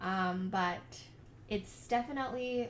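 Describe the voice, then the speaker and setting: A woman speaks amid audible room echo. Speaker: faith lifestyle vlogger. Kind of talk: casual vlog monologue. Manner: hesitant, many fillers.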